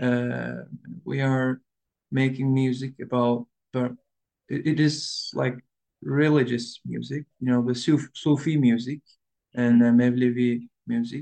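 In a Turkish accent, a man speaks at a medium pitch and a fairly slow pace, his dark, mellow tone monotone and flat, with long, frequent pauses and a dry, close sound with no echo. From Istanbul, Turkey. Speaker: tanbur player, musician. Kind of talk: casual interview chat. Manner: halting, hesitant English with fillers.

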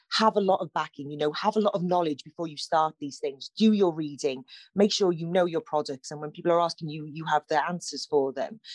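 With a Cardiff accent, a woman talks at a fairly quick pace with hardly any pauses and big swings in loudness. Her pitch is fairly low, with ordinary variation. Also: dry, close sound with no echo. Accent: Welsh, Cardiff area. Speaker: plant shop owner. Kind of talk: radio interview, chatty. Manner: warm, animated, conversational.

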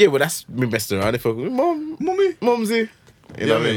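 Speaking at a very fast pace, a man talks with a British accent. Noticeable background noise sits behind him. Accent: British urban. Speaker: podcast host. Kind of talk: casual banter.

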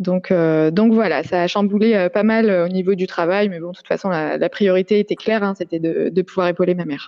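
Fairly even intonation at a moderate pace, with big swings in loudness. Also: woman, medium pitch for a woman. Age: 30s. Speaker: family caregiver. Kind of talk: interview testimony. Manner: halting, many filler hesitations.

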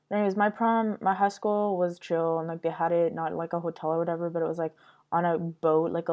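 Speaking fairly quickly with a Montreal accent, a woman keeps a fairly low pitch and fairly even intonation. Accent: Montreal English (Canadian). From Montreal, Quebec. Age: 20s. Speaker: podcast host. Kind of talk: casual monologue.

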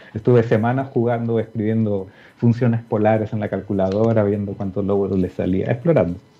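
A man at a fairly quick pace, fairly low in pitch, with fairly even intonation. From Peru (Lima). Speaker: physics professor. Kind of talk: interview. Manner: halting, repeats words.

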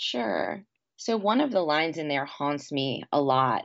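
A woman with an American accent at a moderate pace, quiet background behind her. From New York City, Queens. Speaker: poet. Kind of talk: interview.

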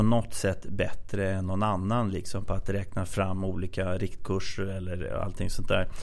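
This man has a normal speaking voice. He moves at a moderate pace, with ordinary pitch variation. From Sweden, Katrineholm. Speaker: bank investor relations head, former analyst. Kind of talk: casual interview.

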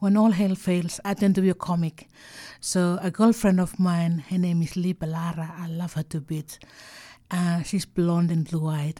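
Fairly low in pitch, a woman speaks in a somewhat breathy voice with a dark, mellow tone and fairly even intonation on a very clean recording with a silent background. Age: 60s. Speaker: art curator. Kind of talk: interview storytelling. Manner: halting.

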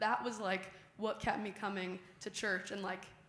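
A woman speaks at a moderate pace and medium pitch. Her intonation stays fairly even. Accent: Midwestern. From Chicago suburbs, US Midwest. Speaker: youth leader. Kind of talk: casual testimony in church. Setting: church.

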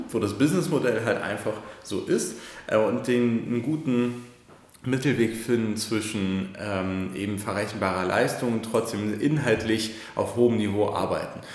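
Speaking at a moderate pace, a man with a medium pitch and ordinary pitch variation is heard with audible echo from the room. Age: 30s. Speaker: digital agency founder and managing director. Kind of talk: podcast interview. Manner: hesitant, many fillers.

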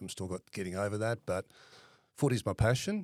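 Recorded very cleanly against a silent background, a man with an Australian accent talks at a fairly quick pace in a dry, close sound with no echo. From Western Australia (Perth). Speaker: property fund manager. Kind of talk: interview.

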